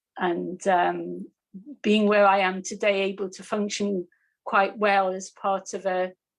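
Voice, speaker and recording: Her delivery is monotone and flat, with a medium pitch for a woman and a fairly slow pace. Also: very clean recording, silent background. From northeast England (Newcastle). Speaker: meditation teacher. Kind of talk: personal testimony on a panel.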